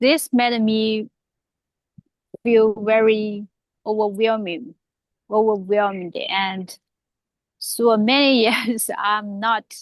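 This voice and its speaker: Recorded with a dry, close sound and no echo, a woman speaks very slowly at a fairly high pitch, her intonation fairly even and broken by long, frequent pauses. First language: not English. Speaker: public speaking club member. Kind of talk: impromptu speech. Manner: halting.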